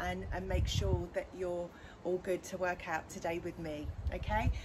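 A woman's moderate-paced speech comes through with noticeable noise in the background. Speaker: fitness instructor. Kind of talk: tutorial. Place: garden. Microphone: camera far.

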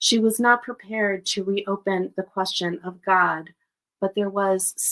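Fairly even intonation in a natural reading voice, the background quiet

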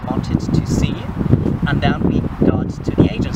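A man's dry, echo-free voice sits under loud background noise. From central Germany. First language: German. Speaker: exchange student. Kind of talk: casual chat. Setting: outdoors. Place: forest.

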